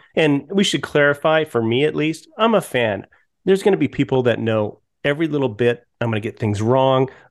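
A man's plain, everyday voice with an American accent, medium pitch, lively intonation, and a fairly quick pace. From Colorado. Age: 50s. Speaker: podcast host and TV producer. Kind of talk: casual chat.

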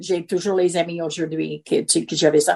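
The background stays quiet while a woman talks. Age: 70s. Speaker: retiree. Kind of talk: casual chat.

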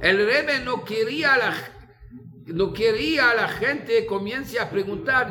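A man with a high voice speaks at a fairly slow pace in a raised, projected voice, with very wide pitch swings. Audible room echo and noticeable background noise fill the recording. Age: 50s. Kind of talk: talk telling stories. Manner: halting.

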